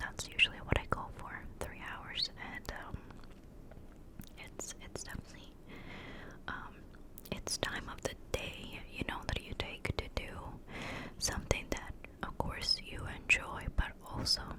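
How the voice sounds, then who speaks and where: A woman whispering, with big swings in loudness, long and frequent pauses, and noticeable background noise. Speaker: ASMR creator and streamer. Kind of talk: casual talk to camera, catch-up ramble. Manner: whispered, soft-spoken, rambling.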